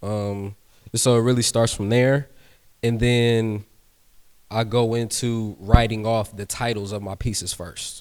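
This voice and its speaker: A man talks at a fairly slow pace in a medium pitch, his intonation flat and monotone, with long, frequent pauses and big swings in loudness, all on a very clean recording with a silent background. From military family, moved around the world. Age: 20s. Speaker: artist. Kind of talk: panel talk. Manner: casual.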